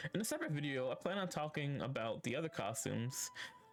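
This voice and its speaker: With music in the background, a man's speech moves at a moderate pace. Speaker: live streamer. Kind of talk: video game lore commentary. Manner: casual, hesitant.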